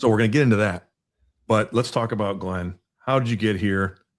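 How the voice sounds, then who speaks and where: Talking at a fairly quick pace, a man with an American accent keeps a fairly low pitch and fairly even intonation on a very clean recording with a silent background. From US Midwest. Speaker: podcast host. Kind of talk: casual interview chat.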